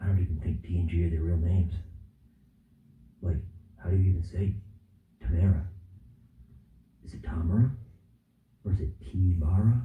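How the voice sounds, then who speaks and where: A man whispers, somewhat breathy, at a fairly quick pace, with long, frequent pauses and big swings in loudness. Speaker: vlogger. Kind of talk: comedic vlog skit. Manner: animated; whispering.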